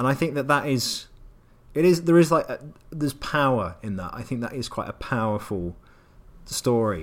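In a very clean recording with a silent background, a man with an English accent talks at a moderate pace with lively intonation and long, frequent pauses. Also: medium pitch for a man. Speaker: podcast co-host, games writer. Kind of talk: casual chat.

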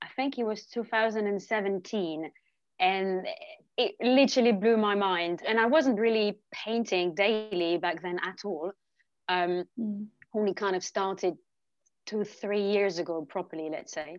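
This woman speaks fairly slowly at a medium pitch. Her pitch varies in an ordinary way. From France, Lyon. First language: French. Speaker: painter. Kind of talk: interview.

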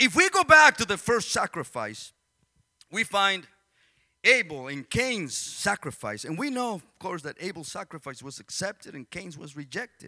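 A man with a non-native accent speaks at a moderate pace in a high, bright and sharp voice, raised and projected, with very wide pitch swings and big swings in loudness, recorded dry and close with no echo. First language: Spanish. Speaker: pastor. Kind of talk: sermon. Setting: church. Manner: animated.

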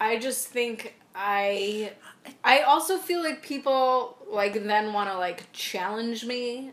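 There is noticeable background noise behind a woman whose pitch is fairly high. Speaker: podcast co-host. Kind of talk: casual chat. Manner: animated, joking.

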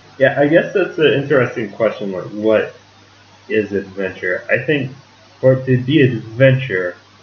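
Over noticeable background noise, a man with an American accent talks at a fairly slow pace, his pitch varying in an ordinary way. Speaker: English teacher, podcast co-host. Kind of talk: casual chat. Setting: home studio. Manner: gets louder as he talks; sometimes mumbles.

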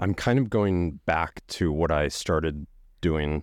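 Very deep, low male voice at a very slow pace against a quiet background. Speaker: photographer. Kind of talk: casual chat. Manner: monotone; calm, measured.

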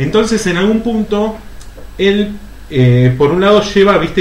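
Amid noticeable background noise and audible room echo, a man speaks at a high pitch with very wide pitch swings. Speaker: podcast co-host. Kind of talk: casual chat.

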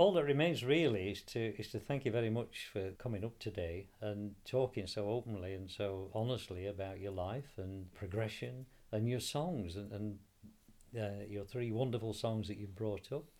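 A man in a South Yorkshire accent speaks at a moderate pace with a fairly low pitch. His tone is warm, and his pitch varies in an ordinary way. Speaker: radio interviewer. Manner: warm, jokey.

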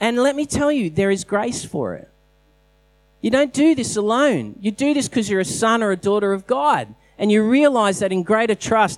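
In an Australian accent, a man talks at a moderate pace. His pitch is high for a man. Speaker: pastor. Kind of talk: sermon. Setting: church.

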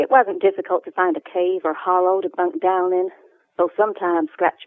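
Intonation rises and falls in a lively way. It is a natural reading voice.

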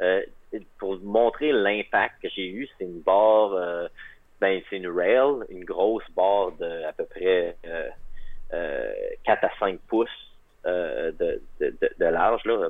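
This man's loudness rises and falls sharply. He talks very slowly, stopping often for long pauses. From Quebec, Magdalen Islands. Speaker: track cyclist. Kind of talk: interview.

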